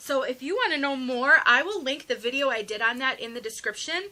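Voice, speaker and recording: A raised, projected voice, bright and sharp in tone, with lively intonation and a fairly quick pace. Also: woman. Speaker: wig reviewer. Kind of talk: product review tutorial. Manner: fast; animated.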